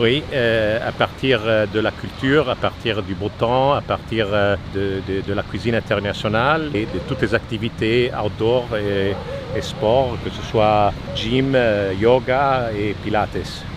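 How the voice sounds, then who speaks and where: The speaker has a slight Italian accent and fairly even intonation, talking at a very slow pace. Noticeable background noise runs underneath. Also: man, medium pitch for a man. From Italy. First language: Italian (speaking French). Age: 60s. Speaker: retired expat. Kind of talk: street interview. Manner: halting, many hesitations.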